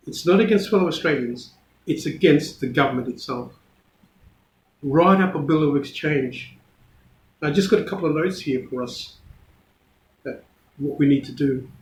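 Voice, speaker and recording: A man with a somewhat breathy, fairly high-pitched voice speaks at a moderate pace with ordinary pitch variation. He takes long, frequent pauses, and audible room echo is present. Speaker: community activist vlogger. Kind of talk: unedited video address. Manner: halting.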